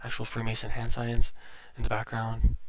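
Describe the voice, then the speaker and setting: A man is soft-spoken. He keeps a moderate pace. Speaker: YouTube movie reviewer. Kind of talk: casual movie recap vlog. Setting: at home. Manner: halting, many fillers.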